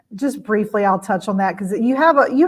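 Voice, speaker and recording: Speech in a Louisiana accent moves at a fairly quick pace with lively intonation. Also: woman. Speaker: educator presenting on virtual tours. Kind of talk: webinar presentation. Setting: live stream webinar. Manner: casual, many filler words.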